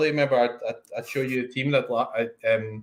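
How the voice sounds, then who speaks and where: A man with a Scottish accent, medium pitch, fairly even intonation and a fairly quick pace. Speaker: fantasy football streamer. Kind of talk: casual chat. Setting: live stream.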